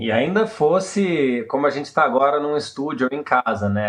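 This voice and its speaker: Here is a man with an ordinary speaking voice. He talks at a moderate pace with lively intonation. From Brazil. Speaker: theatre director. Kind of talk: casual interview.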